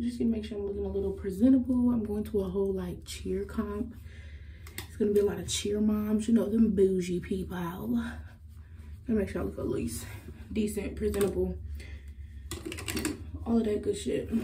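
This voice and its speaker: Over light background noise, a woman talks at a moderate pace with long, frequent pauses. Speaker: vlogger. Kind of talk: casual vlog chat.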